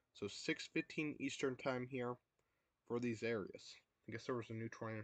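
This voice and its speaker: Quiet and medium-pitched, a man speaks in a dry, close sound with no echo. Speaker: storm-tracking livestreamer. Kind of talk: live storm coverage reading chat. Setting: livestream. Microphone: too quiet.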